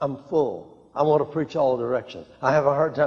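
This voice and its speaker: This man has an American accent and a fairly high pitch, speaking at a moderate pace. He has an unremarkable speaking voice. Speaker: preacher / televangelist. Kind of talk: sermon, teaching talk with personal anecdotes. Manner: earnest, storytelling, chuckling, with repetitions.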